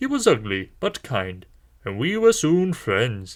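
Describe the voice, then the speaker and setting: This man's voice is a put-on character voice. His delivery is fairly slow. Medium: read story. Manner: wry, fond.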